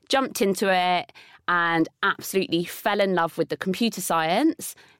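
A woman with a southern English accent speaks at a moderate pace and medium pitch with ordinary pitch variation. The sound is dry and close with no echo, on a very clean recording with a silent background. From southern England, Bournemouth. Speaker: tech entrepreneur. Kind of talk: interview conversation.

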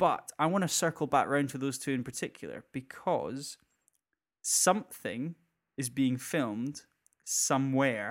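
A man with a Scottish accent speaks at a fairly slow pace and fairly high pitch on a very clean recording with a silent background. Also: ordinary pitch variation. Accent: Scottish (Edinburgh area). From Scotland, near Edinburgh. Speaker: podcast co-host. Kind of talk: casual chat.

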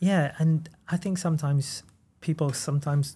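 A man with a Welsh accent, fairly high in pitch, somewhat breathy, with a dark, mellow tone and fairly even intonation, on a very clean recording against a silent background. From Wales. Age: 30s. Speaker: goalkeeper coach. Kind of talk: casual chat.

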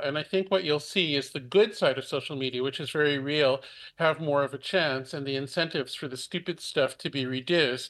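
A man's ordinary speaking voice, fairly high in pitch with ordinary variation, at a fairly quick pace over a quiet background. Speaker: technologist. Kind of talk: panel discussion.

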